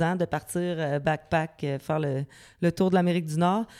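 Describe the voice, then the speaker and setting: On a very clean recording with a silent background, a woman speaks in a plain, everyday voice. Her pitch is fairly low with ordinary variation, and her pace is fairly slow. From Quebec City suburbs (Loretteville). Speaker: singer-songwriter. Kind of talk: interview. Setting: dance studio.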